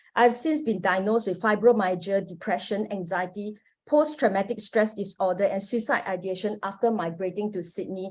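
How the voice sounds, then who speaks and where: In a Singaporean accent, a woman talks at a moderate pace with hardly any pauses, using a medium pitch and ordinary pitch variation. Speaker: academic researcher, panelist. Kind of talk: academic conference presentation. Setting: online forum. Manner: formal.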